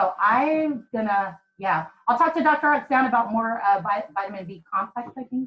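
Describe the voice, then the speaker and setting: A woman talks in an ordinary speaking voice at a fairly high pitch with lively intonation. She keeps a moderate pace with hardly any pauses. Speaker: program participant. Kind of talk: group video call discussion. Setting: video call.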